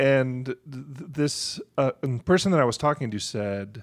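Speaking fairly slowly in a plain, everyday voice, a man uses a medium pitch with ordinary pitch variation. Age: 50s. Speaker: podcast producer. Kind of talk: casual chat. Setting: studio.

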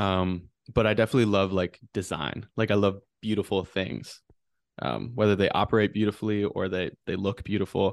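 A man with an American accent talks in a normal speaking voice, fairly low in pitch, with fairly even intonation at a fairly quick pace against a quiet background. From Wisconsin, Wausau. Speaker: photographer. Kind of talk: casual chat. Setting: video call.

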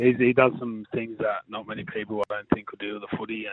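In an Australian accent, a man talks at a medium pitch with monotone, flat intonation. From western Sydney, Australia. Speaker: rugby league player. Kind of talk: interview.

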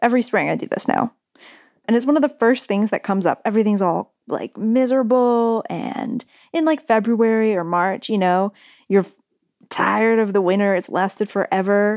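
In a very clean recording with a silent background, a woman with an American accent speaks in an ordinary speaking voice at a moderate pace. Her pitch is fairly high with ordinary variation, and the sound is dry and close with no echo. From California. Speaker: radio producer and reporter. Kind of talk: casual chat with narrated segments; scripted narration.

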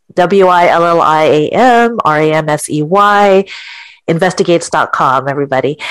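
With an ordinary speaking voice, a woman speaks at a moderate pace in a fairly low pitch, keeping ordinary pitch variation and very even loudness. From California. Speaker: podcast co-host. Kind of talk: casual group podcast discussion.

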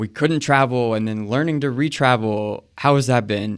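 An unremarkable speaking voice with ordinary pitch variation, in a very clean recording with a silent background. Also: man. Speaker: podcast interviewer and travel editor. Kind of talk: casual interview. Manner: friendly, upbeat.

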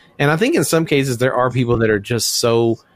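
A man's medium-pitched, normal speaking voice with an American accent, at a moderate pace and with ordinary pitch variation. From US South, Memphis, Tennessee. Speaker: podcast co-host. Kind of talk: casual chat.

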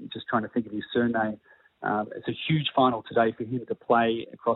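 Here a man speaks with an Australian accent. His pitch is medium and his pace fairly quick. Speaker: tennis coach. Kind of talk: phone interview. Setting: phone call.

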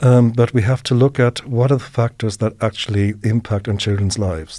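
At a moderate pace, the voice has a dark, mellow tone on a very clean recording with a silent background. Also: man. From Germany. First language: German. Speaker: professor of early childhood education. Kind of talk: interview. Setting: studio. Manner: halting.

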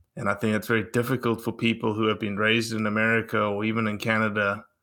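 A man talks with a fairly low pitch and a bright, sharp tone. The recording is very clean, with a silent background. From South Africa. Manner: measured, slightly dramatic delivery.

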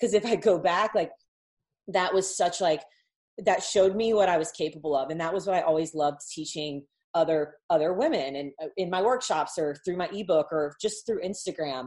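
Fairly low in pitch with ordinary pitch variation, a woman uses an ordinary speaking voice at a fairly quick pace. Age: 30s. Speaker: online business coach. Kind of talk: casual chat.

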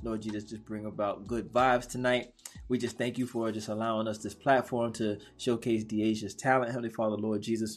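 A man at medium pitch and a fairly quick pace, over a quiet background. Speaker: podcast host. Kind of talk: casual interview. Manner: animated.

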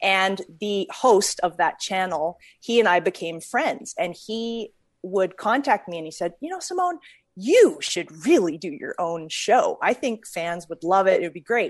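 A woman with an unremarkable speaking voice and a Canadian accent, medium in pitch, with lively intonation, big swings in loudness and a fairly slow pace. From Canada, Calgary. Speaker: actress. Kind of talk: casual interview chat.

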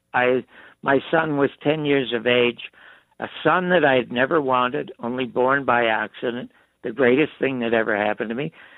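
Here a man with a normal speaking voice talks at a moderate pace, his medium pitch showing ordinary pitch variation. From Canada, Toronto. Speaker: TV producer and writer. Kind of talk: interview. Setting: phone call.

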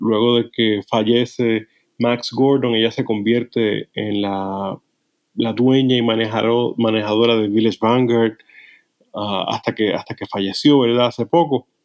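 A man's medium-pitched, monotone voice, flat in intonation and fairly slow. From Puerto Rico. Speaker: psychologist and author. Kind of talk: interview. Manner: halting.

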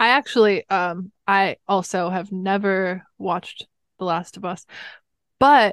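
A woman speaks with a Californian accent. The background is quiet and the sound dry and close, with no echo. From Los Angeles, California. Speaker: musician, singer. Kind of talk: casual chat.

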